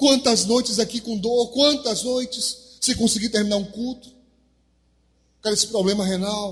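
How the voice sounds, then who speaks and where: A man with an extremely high-pitched voice talks at a moderate pace, leaving long, frequent pauses. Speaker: pastor. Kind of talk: sermon. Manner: animated.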